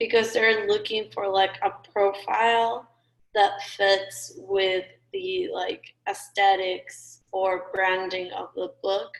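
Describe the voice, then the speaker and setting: At a very slow pace, a woman of medium pitch speaks with a non-native accent. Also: fairly even intonation. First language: not English. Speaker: student. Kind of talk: class discussion.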